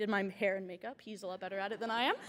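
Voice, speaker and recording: A woman talks at a very fast pace. Her tone is energetic. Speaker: journalism student award winner. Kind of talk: acceptance speech.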